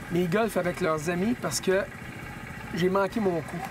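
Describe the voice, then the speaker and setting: With a Quebec accent, a man speaks at a high pitch and a fairly slow pace over noticeable background noise. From Quebec, Sherbrooke. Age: 50s. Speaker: hockey journalist, golf guest. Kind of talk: casual interview. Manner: hesitant with many fillers.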